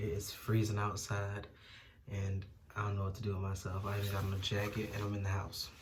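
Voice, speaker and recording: With noticeable background noise and audible room echo, a man speaks at a fairly quick pace in a fairly low pitch and a monotone, flat intonation. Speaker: YouTuber. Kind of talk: casual vlog review. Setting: at home.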